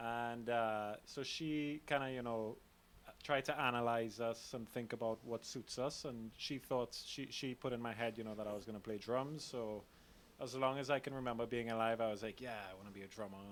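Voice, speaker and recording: A man with a Trinidadian accent, medium pitch and fairly even intonation. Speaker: drummer. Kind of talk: casual interview.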